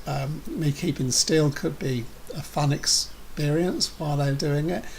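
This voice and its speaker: A man speaks with an English accent at a fairly high pitch. Noticeable background noise runs behind him. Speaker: vlogger with a neurological condition. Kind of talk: personal video update. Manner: halting, stammering repetitions.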